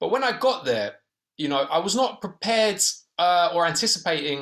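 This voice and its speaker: A man speaks with a British accent in a high-pitched voice. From Britain. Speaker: documentary filmmaker. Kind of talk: Q&A panel discussion. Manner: hesitant, many fillers.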